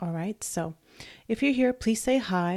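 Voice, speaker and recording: Soft-spoken and dark, mellow in tone, a woman talks at a moderate pace. The sound is dry and close with no echo, on a very clean recording with a silent background. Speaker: blogger and online business coach. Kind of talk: live stream tutorial. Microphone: microphone held very close.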